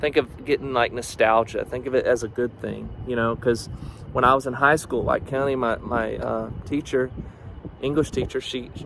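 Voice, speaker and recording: A man's medium-pitched voice in a slight Southern US accent, monotone and flat, with noticeable background noise. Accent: slight Southern twang. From US South, northeast Georgia. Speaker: student vlogger. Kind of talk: personal video diary. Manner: halting, many fillers.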